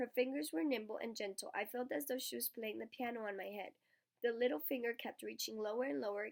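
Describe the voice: The speaker does plain reading aloud, with lively intonation. Behind it, the background stays quiet.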